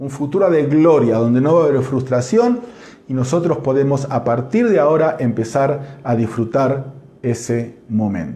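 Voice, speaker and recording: Someone with a Rioplatense accent talks at a fairly slow pace with ordinary pitch variation, and room echo is audible. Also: man, fairly high pitch for a man. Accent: Argentine Rioplatense Spanish. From Argentina. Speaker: pastor. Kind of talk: sermon; church announcements. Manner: animated.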